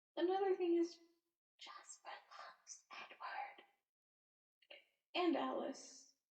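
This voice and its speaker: A woman is speaking. Her tone is relaxed. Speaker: ASMR creator. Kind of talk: sleepy commentary talk to camera. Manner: soft, sleepy, relaxed.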